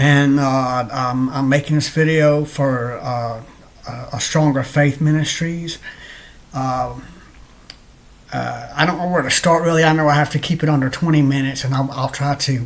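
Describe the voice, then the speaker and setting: Moderately paced speech from a man, fairly high in pitch with fairly even intonation, amid noticeable background noise. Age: 60s. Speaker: person sharing religious testimony. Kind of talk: testimony. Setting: home, recorded at computer in bedroom. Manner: halting, many fillers and repeats.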